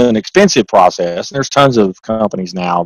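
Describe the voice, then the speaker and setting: Speaking very fast with a slight Southern US accent, a man keeps his intonation fairly even. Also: dry, close sound with no echo. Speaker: accountant and author. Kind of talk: interview. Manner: halting, many repeated words.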